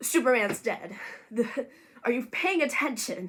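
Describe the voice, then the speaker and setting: A woman with a bright, sharp tone, lively intonation and a moderate pace in a very clean recording with a silent background. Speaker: movie commentary YouTuber. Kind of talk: casual talk to camera. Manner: chatty, sarcastic.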